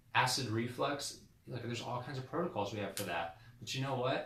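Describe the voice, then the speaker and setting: A man talks in an animated tone at a fairly quick pace. There is audible room echo and noticeable background noise. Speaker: chiropractor. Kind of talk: educational talk to camera. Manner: fast; animated, with many repetitions and fillers.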